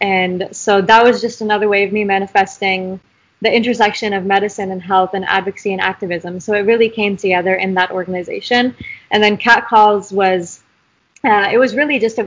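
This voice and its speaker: At a fairly quick pace, a woman with an American accent talks at a medium pitch with fairly even intonation. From US, Idaho. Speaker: university student and health advocate. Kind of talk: interview.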